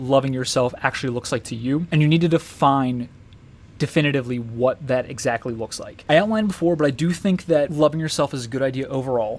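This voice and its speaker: At a very fast pace, a man talks with a fairly high pitch for a man and ordinary pitch variation. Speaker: YouTuber sharing personal views. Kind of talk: personal monologue. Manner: hesitant, with ums and ahs.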